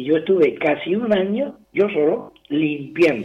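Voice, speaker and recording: Here is a man talking. His pitch is high. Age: old. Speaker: retired martial arts teacher. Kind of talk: radio interview. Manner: halting, repeats words.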